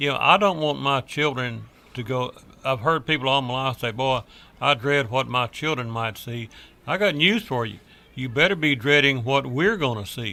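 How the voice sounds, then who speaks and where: A man's medium pitch with a bright, sharp tone. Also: ordinary pitch variation, moderate pace. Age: 70s. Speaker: talk radio guest. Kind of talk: heated debate. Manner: animated.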